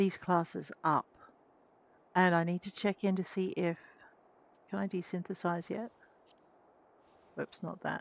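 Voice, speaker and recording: Soft-spoken and monotone with flat intonation, a woman talks at a fairly slow pace with long, frequent pauses. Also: medium pitch for a woman, dry, close sound with no echo. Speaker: game streamer. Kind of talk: let's play commentary. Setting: live stream.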